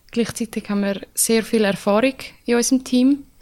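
A woman talks at a moderate pace in an unremarkable speaking voice. Her pitch is fairly high and her intonation fairly even. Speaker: ice hockey player. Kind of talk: casual interview.

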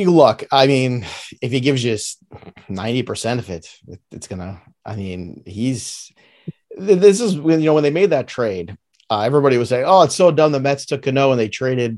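Using very wide pitch swings, a man speaks at a fairly quick pace with an American accent. His pitch sits in the medium range. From New York, Brooklyn. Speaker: fantasy baseball analyst. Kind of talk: casual chat.

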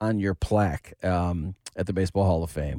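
A man talks at a moderate pace. The recording is very clean with a silent background, and the sound is dry and close with no echo. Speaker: sports reporter. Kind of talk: news reading.

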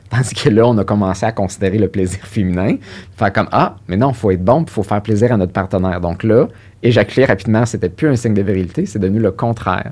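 This man talks at a very fast pace. His pitch is fairly low, with ordinary variation. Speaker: sexologist and psychotherapist. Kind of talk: interview.

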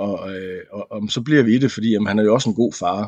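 This man speaks in a medium pitch at a moderate pace, with ordinary pitch variation. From West Jutland, Denmark. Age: 30s. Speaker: former soldier. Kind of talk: casual chat. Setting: studio. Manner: halting, many fillers and repeats.

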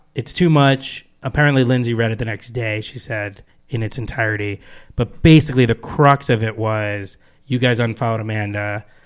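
A man with an American accent and a normal speaking voice, medium pitch, fairly even intonation and moderate pace, in a very clean recording with a silent background. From New Jersey. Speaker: film writer-director. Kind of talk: casual chat.

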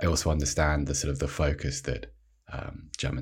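A man's very deep, low voice with vocal fry, monotone, flat intonation and a moderate pace. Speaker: sportswriter. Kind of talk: casual chat.

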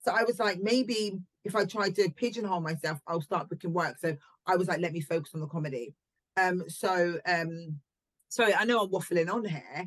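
A woman speaks in a fairly low voice with ordinary pitch variation. The sound is dry and close, with no echo. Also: fairly quick pace. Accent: southern English. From southern England, Southampton. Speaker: actress and comedian. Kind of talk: casual interview chat.

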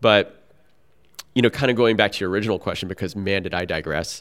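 On a very clean recording with a silent background, a man with an ordinary speaking voice talks at a fairly low pitch with fairly even intonation. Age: 40s. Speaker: paddler, coach and physical therapy student. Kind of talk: casual chat. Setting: in person.

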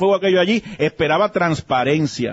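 The words come out very fast. The pitch varies in an ordinary way. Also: man. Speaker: political commentator. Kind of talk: political analysis talk. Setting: remote broadcast at a pharmacy.

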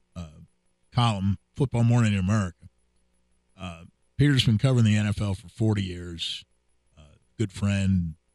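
Over background music, a man with a fairly low pitch and ordinary pitch variation talks at a moderate pace with long, frequent pauses, the sound dry and close with no echo. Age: 60s. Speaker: sports radio host. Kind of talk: casual chat.

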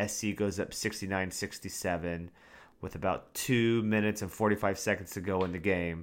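In a very clean recording with a silent background, a man with a plain, everyday voice speaks at a moderate pace, fairly low in pitch, with ordinary pitch variation. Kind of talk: play-by-play game recap with analysis. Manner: conversational, opinionated, with some filler words.

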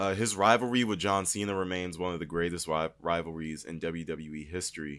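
With hardly any pauses, a man with a very deep, low pitch talks at a moderate pace in an animated tone with ordinary pitch variation, on a very clean recording with a silent background. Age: 20s. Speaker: wrestling podcast host. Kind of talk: casual review monologue.

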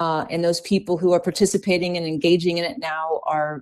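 A woman's fairly low voice with an American accent, moderate pace and fairly even intonation, on a very clean recording with a silent background. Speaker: fitness scientist and health coach. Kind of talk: interview.

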